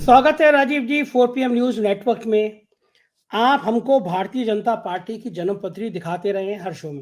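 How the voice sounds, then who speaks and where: A man speaks at a fairly slow pace with a high pitch. His intonation is lively, with big swings in loudness. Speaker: news show host. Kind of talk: political interview.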